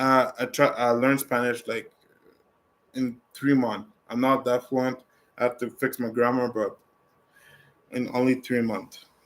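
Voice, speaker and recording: Speaking in a French accent, a man at medium pitch delivers his words in a monotone, flat way at a fairly slow pace with long, frequent pauses. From Canada, originally from Africa. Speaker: travel livestreamer. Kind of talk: casual livestream Q&A chat.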